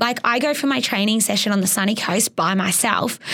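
A woman with an Australian accent at a fairly quick pace, over noticeable background noise. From Australia, Geelong, Victoria. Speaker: competitive water skier. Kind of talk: interview. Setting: studio.

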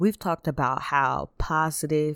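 A woman speaks at a fairly slow pace with fairly even intonation. The recording is very clean with a silent background, and the sound is dry and close with no echo. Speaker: Bible study teacher. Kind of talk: Bible study talk.

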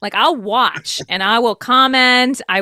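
A woman's bright, sharp tone in an American accent, with ordinary pitch variation and a dry, close sound without echo. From Texas. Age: 20s. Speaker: actress and musician. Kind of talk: casual interview chat. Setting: video call.

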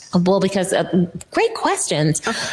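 This woman has an American accent and a fairly low pitch. Her intonation stays fairly even over noticeable background noise. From Florida. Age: 50s. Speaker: lobbyist. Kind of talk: interview. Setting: studio.

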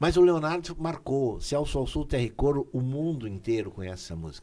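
A man speaks at a fairly quick pace. His tone is dark and mellow, and his intonation is lively. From Taquara, Rio Grande do Sul, Brazil. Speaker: singer. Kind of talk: casual interview.

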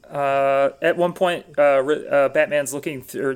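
Intonation stays monotone and flat in this voice with an American accent. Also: man. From US Midwest, Wisconsin. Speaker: comedian. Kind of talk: casual chat.

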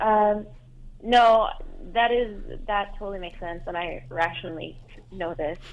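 A woman with an Iranian accent talks at a fairly slow pace, leaving long, frequent pauses. Her pitch sits in the medium range and varies in an ordinary way. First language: Farsi. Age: 20s. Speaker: caller. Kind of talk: personal advice call. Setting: phone call. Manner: halting, many fillers.

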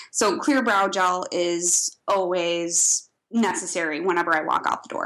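A bright, sharp-toned woman with a slight Midwestern accent, speaking at a fairly slow pace. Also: medium pitch for a woman, ordinary pitch variation. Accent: slight Midwest. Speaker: esthetician and brow artist. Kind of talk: casual interview.

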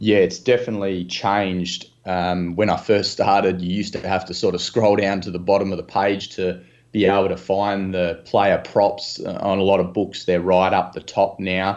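Speaking at a moderate pace with an Australian accent, a man holds a fairly low pitch and a flat, monotone intonation against a quiet background. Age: 30s. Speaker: sports betting analyst. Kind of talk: podcast interview.

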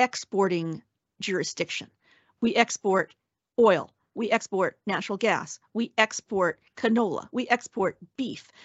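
The woman's speech moves at a fairly slow pace. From Canada, Alberta. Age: 50s. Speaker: senator and former journalist. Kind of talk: interview.

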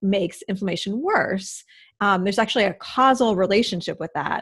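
A woman with an American accent, an unremarkable speaking voice, medium in pitch, with ordinary pitch variation and a moderate pace, on a very clean recording with a silent background. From US Midwest. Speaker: registered dietitian. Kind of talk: interview.

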